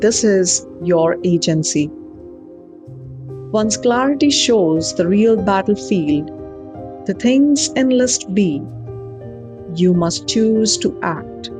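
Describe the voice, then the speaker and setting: Music plays in the background as a woman speaks at a very slow pace. Her loudness stays very even. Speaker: NLP life coach and writer. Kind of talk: self-help talk show monologue.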